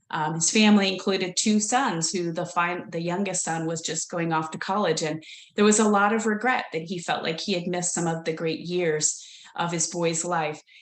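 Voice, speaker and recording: A woman with an American accent talks in a fairly low voice at a moderate pace. Her intonation stays fairly even, and the room echo is audible. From United States. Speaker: leadership consultant. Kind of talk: webinar presentation. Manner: hesitant, many fillers.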